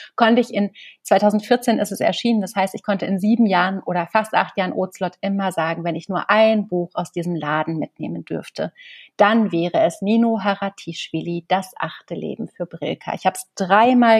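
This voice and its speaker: A woman with a plain, everyday voice speaks at a moderate pace and medium pitch with ordinary pitch variation, her sound dry and close with no echo against a quiet background. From East Germany, small village. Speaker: bookseller and literary presenter. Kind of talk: casual interview.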